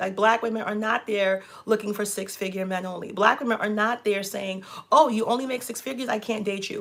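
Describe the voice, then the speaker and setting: Over noticeable background noise, a woman with a New York accent and a fairly high voice talks at a fairly quick pace in an animated tone, with ordinary pitch variation. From New York, Brooklyn. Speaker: relationship coach and channel host. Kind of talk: casual chat.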